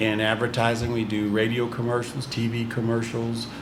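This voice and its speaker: Amid noticeable background noise and audible room echo, a man with an American accent speaks at a moderate pace in a monotone, flat intonation. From US Midwest, East St. Louis, Illinois. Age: 60s. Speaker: business owner. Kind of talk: podcast interview.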